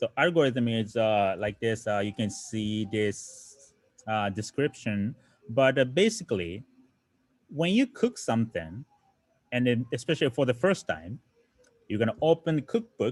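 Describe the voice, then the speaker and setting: Dry and close with no echo, a man with a Japanese accent talks at a fairly slow pace in a medium pitch. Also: lively intonation. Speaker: programming teacher. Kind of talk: lecture. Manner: halting.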